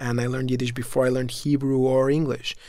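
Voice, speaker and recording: A man with a Spanish accent and fairly even intonation. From Mexico City, Mexico. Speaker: food company founder. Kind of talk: interview.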